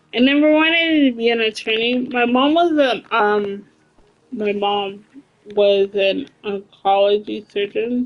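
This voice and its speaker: A woman talks in a fairly high pitch with ordinary pitch variation. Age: 30s. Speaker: video game livestreamer. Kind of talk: casual livestream chat. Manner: animated.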